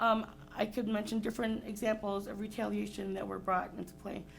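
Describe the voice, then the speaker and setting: Music runs in the background. A woman speaks fairly quickly in a fairly high voice. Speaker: parent giving public comment. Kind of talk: public comment at school board meeting. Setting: school board meeting. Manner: fast.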